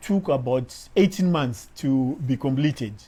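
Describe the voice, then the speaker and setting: Somewhat breathy and dark, mellow in tone, a man speaks at a fairly slow pace with lively intonation. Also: very clean recording, silent background. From Zimbabwe. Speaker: machinist. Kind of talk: interview testimonial.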